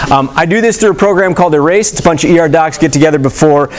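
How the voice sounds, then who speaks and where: Against noticeable background noise, a man talks at a very fast pace in a fairly high pitch with lively intonation. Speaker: emergency medicine physician. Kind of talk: lecture. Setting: stage with audience. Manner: casual, filler-heavy.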